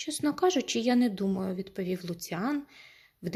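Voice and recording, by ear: The text is read aloud in a natural voice. Its intonation is lively.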